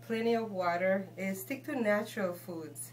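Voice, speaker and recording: Noticeable background noise sits behind a woman's voice. She talks at a moderate pace with a fairly low pitch. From Guatemala. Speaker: shaman and healer. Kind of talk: interview answer.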